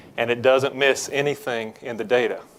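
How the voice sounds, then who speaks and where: A man speaks with a Southern US accent. His intonation is fairly even. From Georgia, US South. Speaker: business development executive. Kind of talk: tech presentation. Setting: conference breakout stage with audience.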